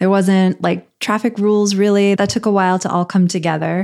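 A woman speaks at a fairly quick pace in a normal speaking voice. Her intonation is fairly even, on a very clean recording with a silent background. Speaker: podcast host, journalist.

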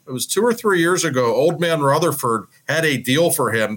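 An ordinary speaking voice from a man with an American accent, fairly quick in pace, with lively intonation. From Pittsburgh, US. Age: 40s. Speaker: hockey reporter. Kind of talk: casual chat.

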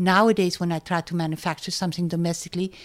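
Talking at a very fast pace, a woman holds a medium pitch. The recording is very clean, with a silent background. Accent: German. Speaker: business owner and designer. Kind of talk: interview.

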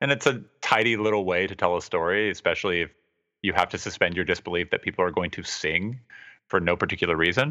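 A man's very deep, low voice with a bright, sharp tone and ordinary pitch variation, at a very fast pace against a quiet background. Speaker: podcast host. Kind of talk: casual chat.

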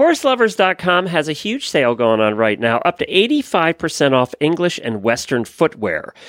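This man's bright, sharp tone makes very wide pitch swings at a moderate pace. The sound is dry and close with no echo, and the recording is very clean over a silent background. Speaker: horse podcast host. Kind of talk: casual chat.

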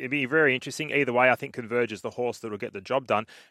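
A man's bright, sharp tone with an Australian accent and ordinary pitch variation, dry and close with no echo, in a very clean recording with a silent background. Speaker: racing analyst. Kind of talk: horse racing preview chat. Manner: conversational, quick.

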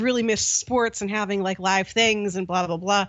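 A woman's medium-pitched, an ordinary speaking voice with an American accent, fairly even intonation and a fairly quick pace. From US, Pittsburgh. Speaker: hockey podcaster. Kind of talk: casual chat.

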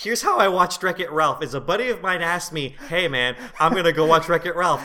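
A man's high voice at a very fast pace with noticeable background noise. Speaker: movie podcast co-host. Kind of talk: casual chat. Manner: animated.

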